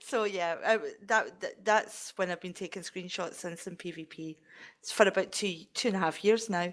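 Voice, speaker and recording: Speaking at a moderate pace with a Scottish accent, a woman uses a medium pitch and fairly even intonation, her loudness swinging widely on a very clean recording with a silent background. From Scotland. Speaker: game community member. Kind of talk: casual chat.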